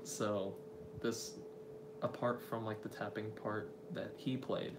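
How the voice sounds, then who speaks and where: A man speaks quietly with audible room echo. Noticeable background noise is present. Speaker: indie musician and drummer. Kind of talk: casual live stream chat. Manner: trying to speak quietly; naturally loud.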